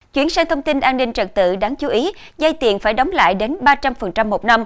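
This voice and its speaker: With lively intonation, a woman talks in a plain, everyday voice. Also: very clean recording, silent background. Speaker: TV news anchor. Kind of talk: news reading. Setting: studio. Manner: formal.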